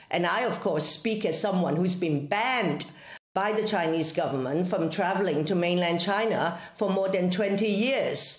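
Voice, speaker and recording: Recorded with audible room echo, a woman talks with ordinary pitch variation and very even loudness. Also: medium pitch for a woman, moderate pace. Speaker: legislator and former journalist. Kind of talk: parliamentary evidence session. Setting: video call.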